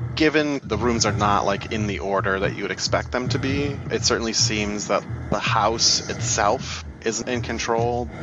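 Noticeable background noise sits behind a man speaking at medium pitch and a moderate pace. His pitch varies in an ordinary way, with hardly any pauses. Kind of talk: tabletop game master narrating a horror campaign. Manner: vivid, descriptive scene-setting, conversational with casual filler words.

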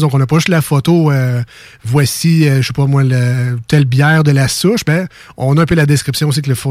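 This man's voice is somewhat breathy and fairly high in pitch. His pitch varies in an ordinary way. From Quebec City (Limoilou). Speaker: radio host. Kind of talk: casual radio chat.

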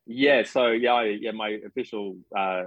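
Speaking with an Australian accent, a man has a fairly low pitch. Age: 30s. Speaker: psychic medium. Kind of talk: casual interview chat. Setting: video call.

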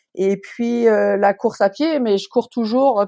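A woman's dark, mellow tone at a fairly slow pace, with ordinary pitch variation, a dry, close sound with no echo and a quiet background. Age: 50s. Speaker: ultra-runner. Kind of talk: casual chat.

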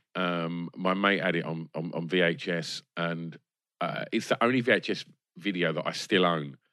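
A man with an English accent, very deep and low in pitch, bright and sharp in tone, at a moderate pace with ordinary pitch variation, the sound dry and close with no echo on a very clean recording with a silent background. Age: 40s. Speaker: film podcast guest. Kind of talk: casual chat. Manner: halting.

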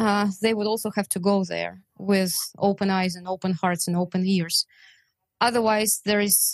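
With a Russian accent, a woman talks at a fairly slow pace and medium pitch in a monotone, flat delivery, recorded dry and close with no echo against a quiet background. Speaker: translator and volunteer. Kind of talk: interview.

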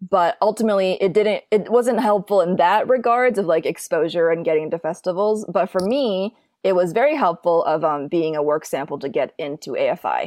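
In a normal speaking voice at a medium pitch, a woman talks at a fairly quick pace with hardly any pauses against a quiet background. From Minnesota, US Midwest. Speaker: film and TV director. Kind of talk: casual interview.

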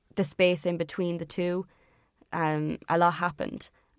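In an Irish accent, a woman speaks at a fairly low pitch with monotone, flat intonation, in a very clean recording with a silent background. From Irish Midlands. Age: 20s. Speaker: musician in a band. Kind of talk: casual interview chat. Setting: studio or sit-down recording. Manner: hesitant, many fillers.

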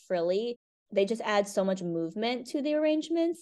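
A woman with an American accent has a dark, mellow tone. Her pace is fairly quick and her intonation lively. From Connecticut, US. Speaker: florist and business owner. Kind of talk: interview. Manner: casual with frequent fillers.

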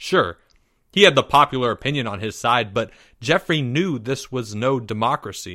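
Quiet surroundings, ordinary pitch variation, and plain reading aloud

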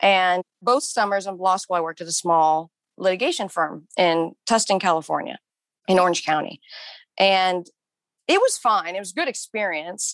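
This is a normal speaking voice at a moderate pace with ordinary pitch variation. The background is quiet. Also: woman, medium pitch for a woman, dry, close sound with no echo. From Kansas. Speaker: yoga instructor and former tax lawyer. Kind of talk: interview.

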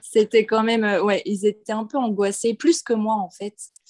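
An unremarkable speaking voice from a woman, fairly high in pitch, dry and close with no echo over a quiet background. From western France (Nantes). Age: 20s. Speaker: expatriate, former preschool worker. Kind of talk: casual interview.

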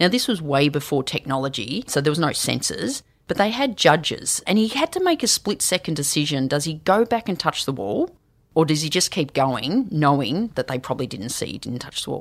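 In an Australian accent, a woman speaks with a very deep, low pitch and very wide pitch swings on a very clean recording with a silent background. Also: fairly quick pace. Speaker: leadership and storytelling consultant. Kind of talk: interview. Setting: studio.

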